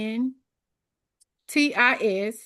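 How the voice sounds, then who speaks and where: A woman with a Memphis accent, ordinary pitch variation and a quiet background. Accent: Southern US (Memphis). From US South. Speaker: exam prep coach. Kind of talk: online study group session.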